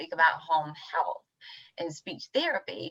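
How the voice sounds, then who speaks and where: A plain, everyday voice from a woman carries lively intonation at a moderate pace. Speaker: webinar host. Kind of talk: casual chat.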